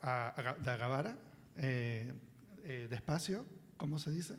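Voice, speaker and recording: This man speaks at a fairly high pitch with ordinary pitch variation and a very slow pace. Room echo is audible. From Venezuela, Caracas (Chacao). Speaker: children's book author, panelist. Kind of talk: panel talk at a seminar.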